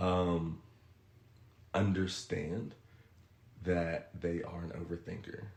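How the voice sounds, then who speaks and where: Very deep, low male voice in a monotone, flat intonation, long, frequent pauses and audible room echo. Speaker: podcast guest giving relationship advice. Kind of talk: casual podcast chat. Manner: fast.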